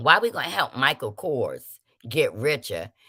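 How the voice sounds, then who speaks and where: A woman speaks at a fairly slow pace with a bright, sharp tone. The recording is very clean, with a silent background. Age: 50s. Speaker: livestream host. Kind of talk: casual livestream talk reading chat comments. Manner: animated.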